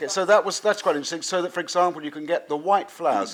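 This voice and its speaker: The speaker is a man. He has a southern English accent. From southern England. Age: 50s. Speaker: watercolour painter and teacher. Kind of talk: painting demonstration; interview.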